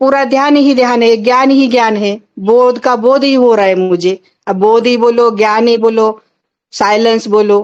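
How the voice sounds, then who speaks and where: A woman with an ordinary speaking voice speaks at a fairly high pitch, her intonation fairly even and her loudness very even. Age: 60s. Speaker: caller to a spiritual satsang. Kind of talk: devotional testimony. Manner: repetitive, devotional.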